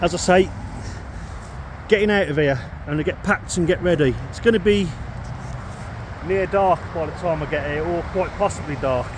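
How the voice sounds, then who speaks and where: Speech in a British accent at a moderate pace, with ordinary pitch variation, long, frequent pauses and noticeable background noise. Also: man, high pitch for a man. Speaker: outdoor camping vlogger. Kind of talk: casual vlog narration. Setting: outdoors. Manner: loud.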